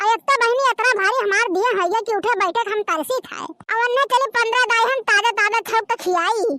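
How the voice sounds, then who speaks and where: In a cartoonish character voice, a female-sounding voice speaks at an extremely high pitch and a fairly quick pace with hardly any pauses. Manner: rambling, complaining.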